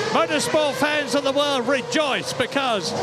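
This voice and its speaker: An enthusiastic man's raised, projected voice at an extremely high pitch, with music in the background. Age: 80s+. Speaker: motorsport commentator. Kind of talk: live sports broadcast reporting. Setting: outdoors. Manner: enthusiastic, excitable.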